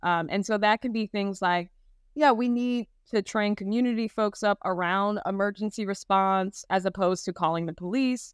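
In a normal speaking voice with an American accent and ordinary pitch variation, a woman is recorded very cleanly against a silent background, the sound dry and close with no echo. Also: medium pitch for a woman, moderate pace. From US Midwest (Gary, Indiana). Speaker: law professor. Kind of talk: panel discussion.

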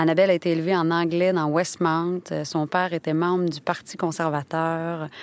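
A woman with a fairly low pitch speaks in a Quebec accent. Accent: Québécois French. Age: 30s. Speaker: actress and podcast narrator. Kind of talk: scripted narration. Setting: studio.

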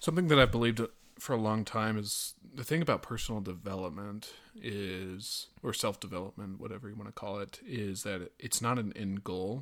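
Recorded very cleanly with a silent background, a man talks at a moderate pace and fairly low pitch with ordinary pitch variation. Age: 20s. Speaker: podcast guest, host's brother. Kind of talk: casual chat. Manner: halting, many fillers and repeats.

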